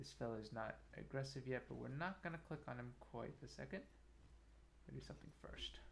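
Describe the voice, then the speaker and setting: A soft-spoken man at a fairly quick pace, broken by long, frequent pauses. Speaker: game streamer. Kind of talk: casual gameplay commentary. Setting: live stream.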